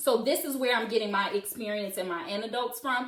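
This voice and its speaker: Over noticeable background noise and audible room echo, a woman with a fairly high pitch talks at a fairly quick pace in an animated, passionate tone with lively intonation. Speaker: live-stream host discussing parenting. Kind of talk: live stream monologue answering comments. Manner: loud.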